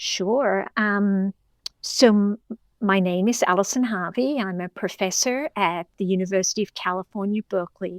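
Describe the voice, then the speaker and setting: With an Australian accent, a woman speaks in a dry, close sound with no echo. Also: medium pitch for a woman, ordinary pitch variation, moderate pace. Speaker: professor and clinical psychologist. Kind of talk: interview.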